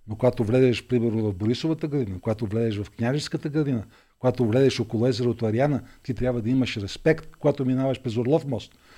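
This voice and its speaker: A man's very fast delivery in a dark, mellow tone, medium pitch and ordinary pitch variation, over a quiet background. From Bulgaria, Vidin. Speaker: politician, mayoral candidate. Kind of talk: interview.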